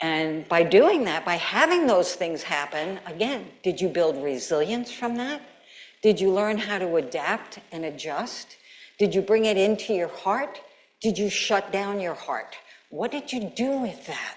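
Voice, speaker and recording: Over noticeable background noise and audible room echo, a woman speaks fairly slowly. Her voice sits at a medium pitch with lively intonation. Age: 70s. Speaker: keynote speaker, gerontology professor. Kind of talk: conference keynote talk. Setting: stage with audience. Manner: animated.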